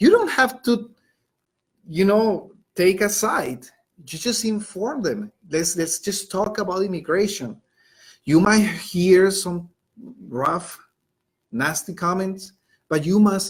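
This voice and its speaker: Speaking very slowly with a Colombian accent, a man uses a high pitch. He leaves long, frequent pauses. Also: ordinary pitch variation. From Colombia, Bogota. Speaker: high school Spanish teacher. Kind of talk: educational webinar. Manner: conversational with frequent fillers.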